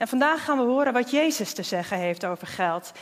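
The speaker is a woman with a high-pitched voice. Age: 30s. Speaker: church member giving a sermon. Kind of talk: sermon. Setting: church.

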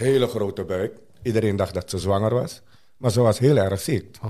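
A man with a Surinamese accent talks at a moderate pace, his fairly low voice carrying vocal fry and ordinary pitch variation. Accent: Surinamese Dutch. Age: 60s. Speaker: interview guest sharing life story. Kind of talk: personal testimony.

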